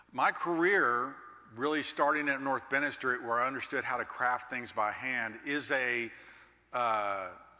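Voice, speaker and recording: A man speaks at a fairly slow pace in a bright, sharp tone. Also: medium pitch for a man, ordinary pitch variation. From Texas, Dallas. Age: 60s. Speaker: master builder and keynote speaker. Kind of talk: keynote speech.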